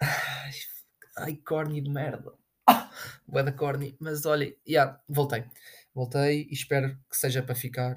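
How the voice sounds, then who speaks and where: Speaking very slowly with a European Portuguese accent, a man sounds somewhat breathy, and his loudness swings widely. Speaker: podcast host. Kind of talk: casual solo monologue. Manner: animated.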